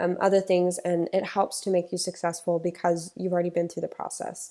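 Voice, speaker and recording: A woman with an American accent, fairly low in pitch, dark and mellow in tone, in a monotone, flat delivery on a very clean recording with a silent background. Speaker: pageant organizer. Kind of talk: podcast monologue.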